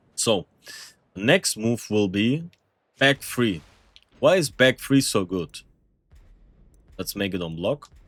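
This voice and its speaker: A man with a non-native accent and medium pitch, very wide pitch swings, a very slow pace with long, frequent pauses, and a dry, close sound with no echo. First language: not English. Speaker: gaming content creator. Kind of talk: tutorial. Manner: casual, with fillers and hesitations; animated.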